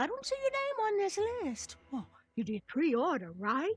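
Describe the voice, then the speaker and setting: A squeaky, high-pitched put-on character voice with very wide pitch swings at a moderate pace. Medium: video game. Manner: chipper, punning.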